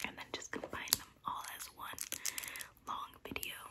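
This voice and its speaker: Whispering and soft-spoken, a woman speaks at a fairly slow pace. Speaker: content creator. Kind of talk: casual vlog chat. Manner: soft close-up ASMR whisper. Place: home room.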